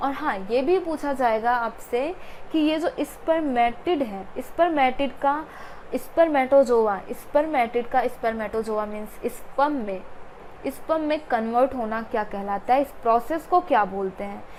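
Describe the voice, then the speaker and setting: Her pitch is high. The woman's pitch varies in an ordinary way. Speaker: biology teacher. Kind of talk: lecture. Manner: repetitive, emphatic teaching.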